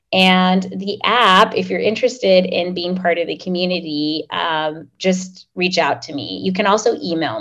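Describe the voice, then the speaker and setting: A woman's fairly low pitch with vocal fry, ordinary pitch variation, and a fairly slow pace. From Oklahoma, US. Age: 30s. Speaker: startup founder. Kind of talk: podcast interview.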